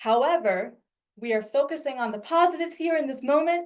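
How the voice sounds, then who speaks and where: A woman speaks with lively intonation. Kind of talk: webinar presentation.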